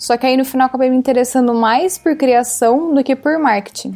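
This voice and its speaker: A woman speaks at a fairly quick pace with ordinary pitch variation. It's an unremarkable speaking voice. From Brazil. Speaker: art director. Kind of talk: casual interview chat. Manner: casual, filler-heavy (tipo).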